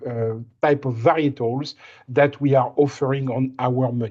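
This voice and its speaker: A man speaks at a fairly high pitch with a slight French accent. His pace is moderate and his intonation fairly even. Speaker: winemaker. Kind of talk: presentation on a recruitment call. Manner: halting, repeats words.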